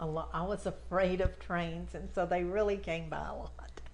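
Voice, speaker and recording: A woman speaks in a Texan accent with audible room echo. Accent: Texan Southern. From Texas, Fort Bend County. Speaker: local history interviewee. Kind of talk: oral history interview.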